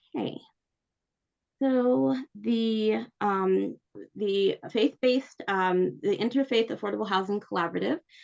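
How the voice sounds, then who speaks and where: Lively intonation at a fairly slow pace. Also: woman, medium pitch for a woman. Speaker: church council staff trainer. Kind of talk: training presentation. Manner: hesitant with many fillers.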